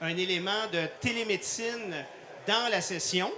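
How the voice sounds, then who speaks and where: A man's raised, projected voice in a Quebec accent, with ordinary pitch variation, audible room echo and noticeable background noise. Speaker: cardiologist and intensive care doctor. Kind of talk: live product demonstration. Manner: hesitant, many fillers.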